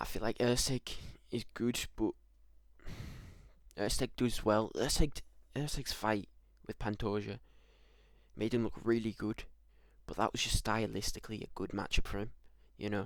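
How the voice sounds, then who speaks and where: Quietly and at a moderate pace, a man talks in a medium pitch with monotone, flat intonation and long, frequent pauses. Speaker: MMA YouTuber giving fight predictions. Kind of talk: solo prediction video, casual monologue. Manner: speaking quietly; hesitant, many fillers and repeats.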